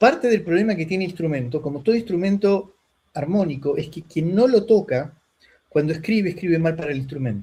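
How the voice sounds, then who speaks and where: A man speaks in a high pitch with a dark, mellow tone. His intonation is lively and his pace fairly quick. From Argentina. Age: 60s. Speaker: lute player. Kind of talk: interview conversation.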